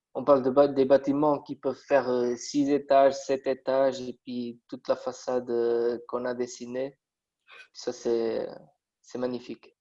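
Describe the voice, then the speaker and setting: A man's medium-pitched voice in a Portuguese accent, dark and mellow in tone, monotone and flat, at a fairly slow pace with big swings in loudness. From Portugal. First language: Portuguese (speaking French). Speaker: metal construction draftsman. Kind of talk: interview. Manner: halting, many hesitations.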